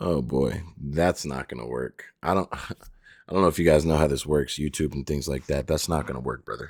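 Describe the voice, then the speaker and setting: Hardly any pauses break this vocal-fry delivery, which moves at a moderate pace with fairly even intonation on a very clean recording with a silent background. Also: man, very deep, low pitch for a man. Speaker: YouTube live streamer reacting to videos. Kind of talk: live stream reaction commentary. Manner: soft, hushed.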